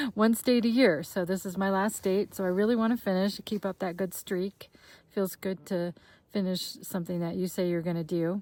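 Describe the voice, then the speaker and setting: A woman with a dark, mellow tone speaks at a moderate pace with fairly even intonation. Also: medium pitch for a woman. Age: 60s. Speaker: long-distance hiker and vlogger. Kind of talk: personal video diary. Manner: casual, with frequent filler words.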